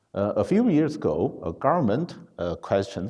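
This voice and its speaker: A man with a non-native accent, a dark, mellow tone, very wide pitch swings and a moderate pace. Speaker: conference speaker. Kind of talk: conference talk. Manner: halting, many fillers.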